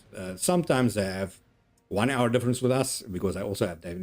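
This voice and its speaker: With ordinary pitch variation, a man speaks in a fairly low voice. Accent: Afrikaans South African. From South Africa, Afrikaans-speaking. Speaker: gaming streamer. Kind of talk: casual gameplay commentary.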